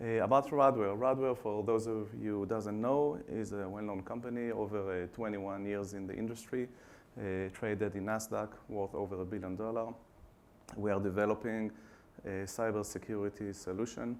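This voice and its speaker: With an Israeli accent, a man speaks at a fairly low pitch and a moderate pace, with fairly even intonation and audible room echo. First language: Hebrew. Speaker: customer success team manager. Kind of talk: conference presentation. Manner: hesitant, many fillers.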